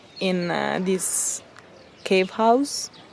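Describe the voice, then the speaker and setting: A woman's medium-pitched voice with an Italian accent, very slow and fairly even in intonation, over noticeable background noise. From Italy. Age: 20s. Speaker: travel vlogger. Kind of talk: casual vlog narration. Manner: halting, with fillers.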